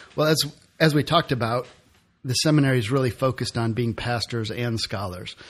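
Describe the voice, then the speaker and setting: An American-accented man talks at a very fast pace and a medium pitch, with ordinary pitch variation. His voice is somewhat breathy, on a very clean recording with a silent background. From Detroit, US Midwest. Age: 40s. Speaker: seminary student. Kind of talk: casual interview.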